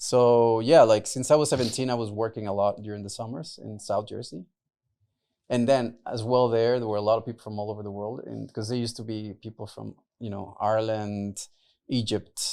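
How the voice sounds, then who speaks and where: The voice is dark and mellow, with a Spanish accent. Speech moves at a fairly quick pace with fairly even intonation and big swings in loudness. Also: man, medium pitch for a man. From Mexico City and New York. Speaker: podcast guest, entrepreneur. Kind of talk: casual interview.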